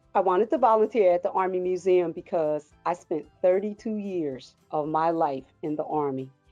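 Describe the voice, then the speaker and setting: Over music in the background, a woman with an American accent and a fairly low pitch speaks at a moderate pace in an enthusiastic tone, with ordinary pitch variation and hardly any pauses. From Paterson, New Jersey. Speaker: retired Army sergeant, museum volunteer. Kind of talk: interview answer.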